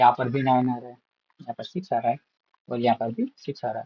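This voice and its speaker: A man speaks with a Gujarati accent. His pitch sits in the medium range. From India, Gujarat. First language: Gujarati (speaking Hindi). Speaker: math tutor. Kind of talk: tutorial. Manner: casual, with fillers.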